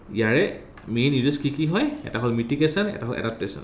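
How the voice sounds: A man speaks at a medium pitch and a very fast pace with lively intonation. Audible room echo surrounds his voice.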